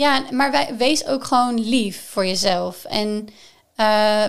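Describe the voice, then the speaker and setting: In a very clean recording with a silent background, a woman speaks at a fairly high pitch with ordinary pitch variation. She has a normal speaking voice. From Netherlands, Gelderland (Groesbeek). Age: 20s. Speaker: sustainability expert. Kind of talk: casual chat.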